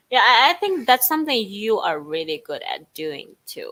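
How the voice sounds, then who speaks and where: With a Chinese accent, the voice has a bright, sharp tone and very wide pitch swings. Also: woman. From China. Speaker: Chinese teacher. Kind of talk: casual bilingual talk show chat.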